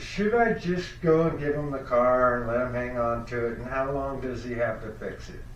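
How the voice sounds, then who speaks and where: A man's medium-pitched voice with ordinary pitch variation, a moderate pace and hardly any pauses, amid noticeable background noise. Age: 60s. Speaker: podcast host. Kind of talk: phone call.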